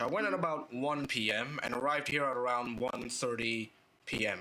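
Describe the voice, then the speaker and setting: This man's pitch moves in an ordinary way. Behind him, background noise is noticeable. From Indonesia. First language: Indonesian. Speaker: VTuber streamer. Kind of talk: casual livestream chat. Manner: halting, many repetitions.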